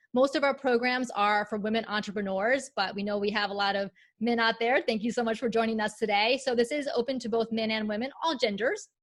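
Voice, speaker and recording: Her pitch fairly high, a woman talks at a fairly quick pace with hardly any pauses. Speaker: presentation coach. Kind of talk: webinar presentation. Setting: video call. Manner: fast; animated.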